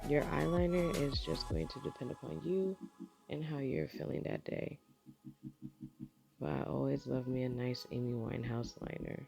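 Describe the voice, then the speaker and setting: Against music in the background, a woman with a very deep, low pitch talks at a moderate pace, her pitch swinging very widely between long, frequent pauses. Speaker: makeup tutorial creator. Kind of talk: makeup tutorial voice-over. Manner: casual, chatty.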